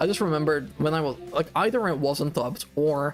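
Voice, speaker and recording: Music plays behind a man whose fairly high voice has lively intonation. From Belgium. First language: not English (Dutch or French). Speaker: gaming streamer. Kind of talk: live stream commentary. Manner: casual, hesitant with fillers.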